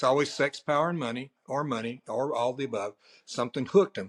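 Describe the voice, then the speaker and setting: In a very clean recording with a silent background and a dry, close sound without echo, a man with a normal speaking voice talks at a fairly quick pace in a fairly high pitch with ordinary pitch variation. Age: 60s. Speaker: pastor. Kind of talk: interview.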